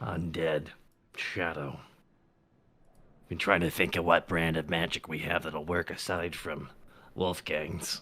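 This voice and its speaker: In a put-on character voice, a man with a very deep, low pitch and a raspy sound speaks in a monotone, flat way at a fairly slow pace with long, frequent pauses. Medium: actual play. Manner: folksy, dialect words.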